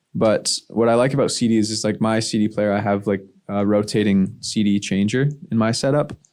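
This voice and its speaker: A man talks at a fairly quick pace with a medium pitch and an unremarkable speaking voice. The recording is very clean, with a silent background. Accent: Canadian. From Ottawa, Canada. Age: 20s. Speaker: musician. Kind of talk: casual chat.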